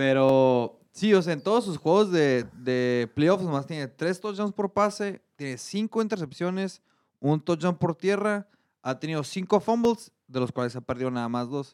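A man speaks with lively intonation and a fairly high pitch, in an unremarkable speaking voice. The sound is dry and close, with no echo. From Mexico. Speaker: accountant and sports pundit. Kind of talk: casual sports talk show. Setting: studio.

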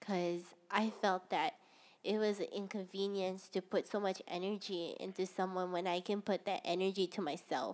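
With a Hawaiian accent, a woman talks at a moderate pace in a monotone, flat intonation, her loudness very even throughout. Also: medium pitch for a woman. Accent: Hawaii local English. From Hawaii, Ewa Beach on Oahu. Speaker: podcast co-host. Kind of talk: casual chat.

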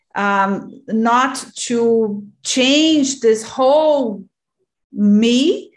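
With a Portuguese accent, a woman speaks at a fairly high pitch and with lively intonation. The recording is very clean, with a silent background. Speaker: podcast host and yoga teacher. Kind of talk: interview.

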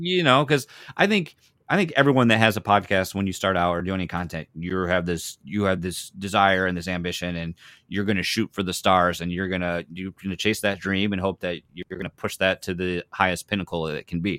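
A man with a very deep, low pitch speaks at a fairly quick pace with ordinary pitch variation and a bright, sharp tone. The recording is very clean, with a silent background and a dry, close sound with no echo. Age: 30s. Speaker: podcaster and gamer. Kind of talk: casual chat.

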